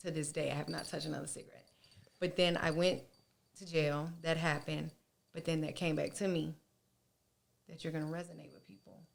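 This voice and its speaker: A woman with a very deep, low pitch and vocal fry talks at a fairly quick pace. Her loudness swings widely, and she takes long, frequent pauses. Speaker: beauty business owner, podcast guest. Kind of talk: casual interview chat. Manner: blunt, animated.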